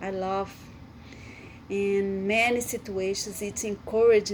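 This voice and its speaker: A woman speaks with a Brazilian Portuguese accent at medium pitch. Her pace is fairly slow and her intonation is monotone and flat. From Brazil, Amazonas. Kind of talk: devotional talk. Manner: halting.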